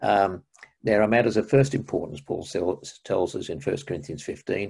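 The background is quiet. A man with an Australian accent speaks at a moderate pace. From Australia, Melbourne. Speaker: retired minister and church history lecturer; retired minister, church history lecturer. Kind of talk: interview. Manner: halting. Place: home room. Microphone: video call.

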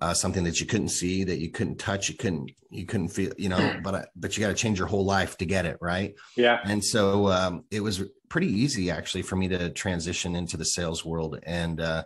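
Against a quiet background, a man speaks at a fairly quick pace in a very deep, low pitch. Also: fairly even intonation. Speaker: podcast guest, sales enablement director. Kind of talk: interview answer. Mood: friendly, laughing at times. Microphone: studio mic.

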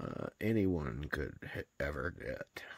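A man at a very slow pace, with a quiet background and a dry sound with no echo. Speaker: vlogger showing family photo book. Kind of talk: casual vlog chat. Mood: warm, nostalgic, affectionate. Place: home room. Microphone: phone near.

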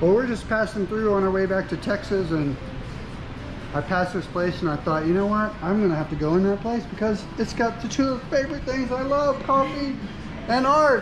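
Clear background noise accompanies speech delivered at a medium speed. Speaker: traveling vlogger, art teacher. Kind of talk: casual vlog chat. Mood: enthusiastic, friendly. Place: cafe. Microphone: phone near.

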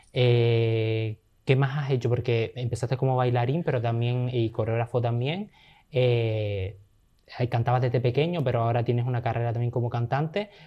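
The background stays quiet while a man talks at a moderate speed. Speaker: podcast host. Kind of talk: casual interview. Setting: studio. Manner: animated. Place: studio.

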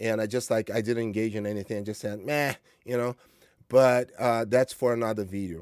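A man speaks at a fairly quick pace and medium pitch. The sound is dry with no echo, over a quiet background. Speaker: martial arts coach vlogger. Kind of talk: monologue vlog. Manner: informal, motivational, hesitant with fillers. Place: home room.

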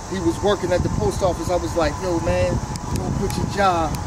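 A man talking at a fairly quick pace, dry with no echo, over loud background noise. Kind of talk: interview answer. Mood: proud, warm, laughing. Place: street.

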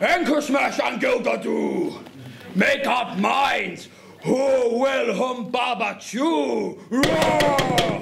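With faint background noise, a man puts on a character voice at an extremely high pitch, speaking at a very slow pace with vocal fry. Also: ordinary pitch variation, few pauses, fairly bright tone.

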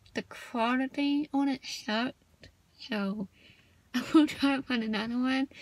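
With a Southern US accent, a woman speaks at a high pitch and a fairly slow pace. Her intonation is fairly even, and the sound is dry with no echo. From US South. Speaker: video blogger. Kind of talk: casual vlog monologue. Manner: shy on camera, casual. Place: car. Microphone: phone near.

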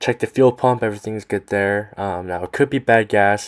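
At a moderate pace, a man with a low pitch speaks with fairly even intonation.

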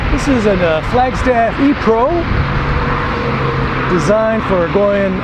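Loud background noise sits behind a dry sound that has no echo. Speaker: RV vlogger. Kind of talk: casual walking tour commentary. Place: street. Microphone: phone near.

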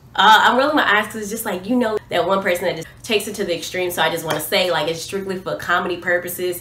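A woman speaks over light background noise. The room echo is audible. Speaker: vlogger. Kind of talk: casual vlog chat. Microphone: phone near.

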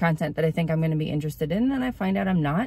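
A fairly low-pitched woman's voice, dry with no echo. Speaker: small video creator. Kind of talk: casual vlog chat. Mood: reflective, a bit anxious. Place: car. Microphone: phone near.

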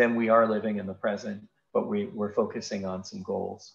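A man does the talking. Pitch variation stays ordinary. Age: 40s. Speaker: physician. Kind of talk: lecture. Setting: video call. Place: home room. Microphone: webcam.

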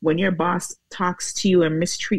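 In a dry sound with no echo and a quiet background, a woman with vocal fry speaks at a moderate pace with a fairly low pitch and fairly even intonation. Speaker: guest. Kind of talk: interview answer. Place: home room. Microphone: earbuds.

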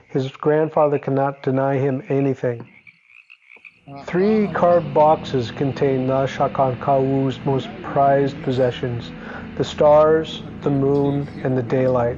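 A man with an American accent speaks very slowly at a fairly high pitch, his pitch varying in an ordinary way over noticeable background noise. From Pacific Northwest, United States. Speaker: glass artist. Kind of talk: museum exhibition narration.

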